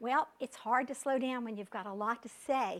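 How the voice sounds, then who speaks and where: A woman with an American accent and fairly even intonation. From New York area. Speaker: physician lecturer. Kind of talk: lecture. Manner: fast.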